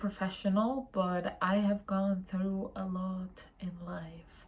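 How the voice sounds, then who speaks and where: A woman with a non-native accent speaks at a medium pitch, somewhat breathy and in a monotone, flat intonation. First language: not English. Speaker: youtuber on mental health. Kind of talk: casual vlog monologue. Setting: home, in pajamas at night. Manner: casual, hesitant with fillers.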